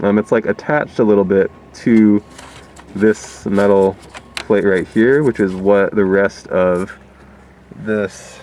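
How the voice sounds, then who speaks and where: Over noticeable background noise, a man talks at a very slow pace with long, frequent pauses. His pitch is fairly low, his intonation fairly even, and his loudness very even. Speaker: DIY car restorer. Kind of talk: casual tutorial vlog. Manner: casual, halting with many fillers.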